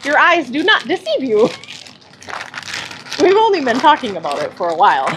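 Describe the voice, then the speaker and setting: A woman's loud, high voice with very wide pitch swings, at a fairly quick pace with long, frequent pauses, over noticeable background noise. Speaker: cake decorator livestreamer. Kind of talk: livestream chat with viewers. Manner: laughs a lot.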